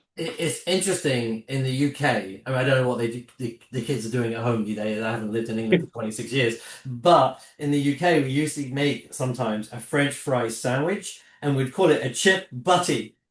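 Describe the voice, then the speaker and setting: Someone with a British accent talks at a fairly quick pace, with ordinary pitch variation. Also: man, medium pitch for a man. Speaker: podcast host. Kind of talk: casual chat. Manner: animated.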